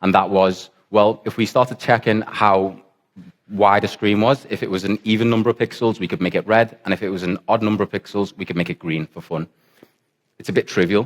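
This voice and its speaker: A man with a Liverpool accent, fairly low in pitch and fairly even in intonation, at a fairly quick pace in a dry, close sound with no echo. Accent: Liverpool (Scouse). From England, Liverpool. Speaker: software developer, conference speaker. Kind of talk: conference talk. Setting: stage with audience, conference in football stadium.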